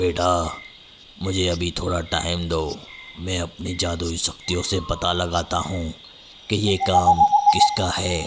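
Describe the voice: A man's cartoonish character voice with a very deep, low pitch, fairly slow and monotone with flat intonation and long, frequent pauses, over loud background noise.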